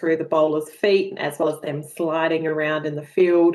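A woman talks at a fairly quick pace in an Australian accent. Her pitch sits fairly low. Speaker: sports tech co-founder. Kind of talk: webinar presentation. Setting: video call. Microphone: video call.

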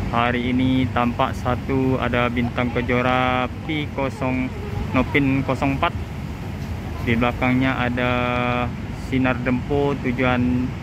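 A man at a very slow pace, in a dry sound with no echo and noticeable background noise. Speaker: channel host filming. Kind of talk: casual vlog commentary. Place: station. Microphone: phone near.

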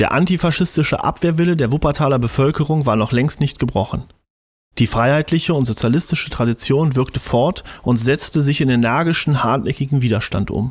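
A man with a fairly high pitch talks at a fairly quick pace, somewhat breathy, with very even loudness and ordinary pitch variation over a quiet background. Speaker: amateur audiobook narrator. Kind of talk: audiobook reading. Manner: fast, mumbling. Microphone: studio mic.

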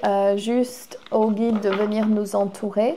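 Someone speaks at a very slow pace with light background noise. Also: woman. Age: 40s. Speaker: spiritual healer and tarot reader; tarot reader. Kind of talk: oracle card reading; guided healing session. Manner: casual, hesitant with frequent fillers. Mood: warm, enthusiastic, spiritual. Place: home room. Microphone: lapel.

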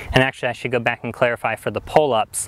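A man's voice, dry with no echo. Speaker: fitness vlogger. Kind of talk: explanatory vlog talk. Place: street. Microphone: lapel.

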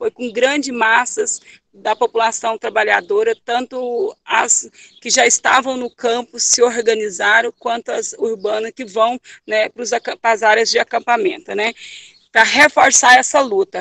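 A woman speaks at a fairly slow pace with a high pitch and ordinary pitch variation. Her tone is bright and sharp, and the sound is dry with no echo. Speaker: landless rural worker activist. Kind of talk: testimony. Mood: earnest, serious. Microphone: video call.

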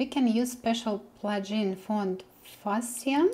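At a very slow pace, a woman with a Russian accent speaks with ordinary pitch variation. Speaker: web developer tutor. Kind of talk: coding tutorial. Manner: hesitant, with many fillers. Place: home room.

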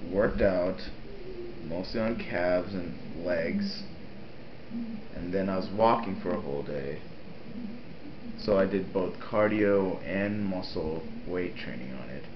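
A man's very deep, low voice at a fairly slow pace, with ordinary pitch variation, long, frequent pauses and noticeable background noise. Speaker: vlogger. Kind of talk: casual vlog chat. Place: home room. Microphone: webcam.

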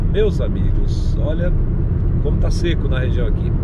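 A man talks at a fairly slow pace, his sound dry with no echo, under loud background noise. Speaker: driver vlogger. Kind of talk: casual vlog chat. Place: car. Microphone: camera far.

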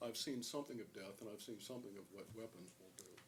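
Somewhat breathy, a man's voice rushes along at a very fast pace. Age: 70s. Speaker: public commenter, lawyer and Vietnam veteran. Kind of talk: public comment at county meeting. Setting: public meeting room. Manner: halting, many uh fillers.

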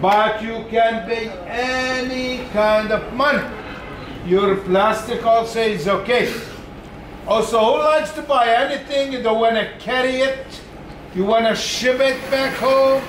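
Speaking fairly slowly with fairly even intonation, a man uses an extremely high pitch, with audible room echo and light background noise. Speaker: glass shop salesman. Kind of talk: sales talk to tour group. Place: shop. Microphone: camera far.

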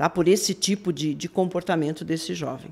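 A woman speaks at a moderate pace, her medium pitch rising and falling in an ordinary way. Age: 60s. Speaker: police forensic expert; guest. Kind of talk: live interview. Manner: animated. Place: studio. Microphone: studio mic.

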